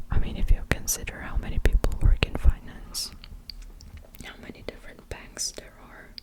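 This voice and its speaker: Whispered words come at a moderate pace against noticeable background noise. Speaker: ASMR creator. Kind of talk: ASMR talking. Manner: whispering; soft-spoken.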